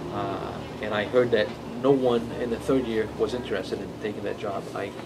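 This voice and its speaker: At a moderate pace, a man speaks at medium pitch with fairly even intonation. Noticeable background noise and audible room echo fill the recording. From Brazil. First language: Portuguese. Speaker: comic book artist. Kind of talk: interview. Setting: in-store signing at comic shop. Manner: halting, many fillers and repetitions.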